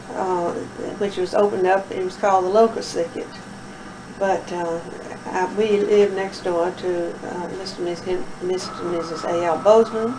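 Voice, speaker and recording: Amid noticeable background noise and audible room echo, a woman with a Tennessee accent speaks at a moderate pace in a medium pitch with monotone, flat intonation. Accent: Southern US, Tennessee. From Middle Tennessee. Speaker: oral history interviewee. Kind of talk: oral history interview.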